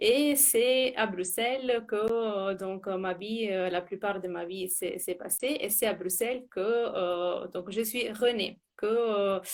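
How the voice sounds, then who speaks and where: A woman talks at a very slow pace. Her voice has a medium pitch with ordinary pitch variation. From Italy. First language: Italian (speaking French). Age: 30s. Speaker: former cancer patient. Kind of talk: interview on a live stream. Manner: hesitant, many fillers and repetitions.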